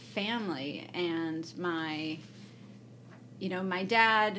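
A woman with an American accent speaks with audible room echo. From US Midwest, Evanston, Illinois (Chicago area). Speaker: political science professor. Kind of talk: casual interview chat. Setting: recorded at an academic conference.

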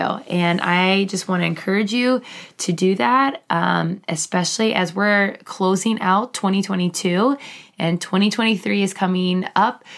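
A woman speaks at a moderate pace and medium pitch, with ordinary pitch variation. She has an ordinary speaking voice, and her loudness is very even. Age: 30s. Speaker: podcast host and teacher. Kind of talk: personal story monologue. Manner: casual, filler-heavy.

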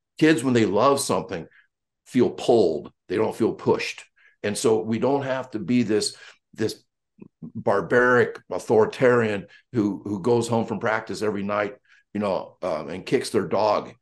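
The man talks at a moderate pace and medium pitch in an ordinary speaking voice. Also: ordinary pitch variation. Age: 60s. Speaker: track and football coach. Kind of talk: casual chat.

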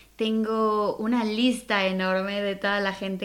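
This woman has a normal speaking voice at medium pitch, and she talks at a fairly slow pace. The recording is very clean, with a silent background. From Mexico City. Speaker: podcast host. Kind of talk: podcast intro monologue.

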